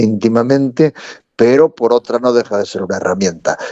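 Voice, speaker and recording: A man with a Galician accent speaks at a medium pitch. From Galicia, Spain. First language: Galician (speaking Spanish). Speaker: theatre director and storyteller. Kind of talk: interview. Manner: halting, repeats words.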